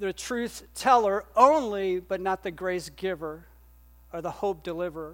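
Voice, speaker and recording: In a very clean recording with a silent background, a woman speaks at a fairly slow pace with ordinary pitch variation. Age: 50s. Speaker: pastor. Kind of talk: sermon. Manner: conversational, with frequent fillers.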